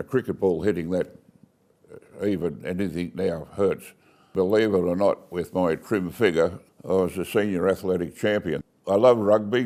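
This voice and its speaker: A man's very deep, low voice, dark and mellow in tone, with an Australian accent. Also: fairly even intonation, moderate pace. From Australia, Bowral, New South Wales. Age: 80s+. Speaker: retired family business owner. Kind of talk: life story interview. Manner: casual, with hesitations.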